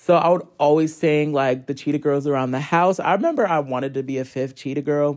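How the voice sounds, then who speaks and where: A man with an unremarkable speaking voice and an American accent talks fairly quickly at a fairly high pitch, with fairly even intonation and hardly any pauses. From US Northeast, Hartford, Connecticut. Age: 20s. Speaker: musician. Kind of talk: casual interview.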